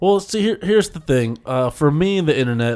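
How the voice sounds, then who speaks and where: In a very clean recording with a silent background, a man speaks playfully at a fairly quick pace, his pitch swinging very widely. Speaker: podcast host. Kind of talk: casual banter. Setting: studio. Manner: joking, playful.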